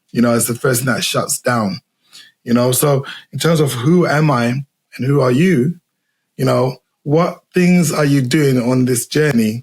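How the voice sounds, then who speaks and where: Somewhat breathy and very even in loudness, a man with a Zimbabwean accent speaks at a medium pitch with ordinary pitch variation and long, frequent pauses, in a dry, close sound with no echo. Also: fairly slow pace. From England, raised from age four after leaving Zimbabwe. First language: Shona. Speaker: podcast host. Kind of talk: interview conversation. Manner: halting, repetitive.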